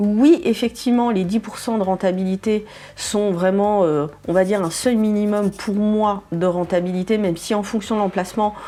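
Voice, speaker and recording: A woman talks at a moderate pace in a medium pitch with a dark, mellow tone. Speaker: real estate investment coach. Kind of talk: educational video talk. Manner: hesitant, many fillers.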